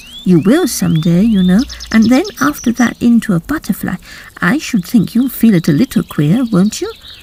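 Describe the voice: Plain reading aloud moves along with lively intonation.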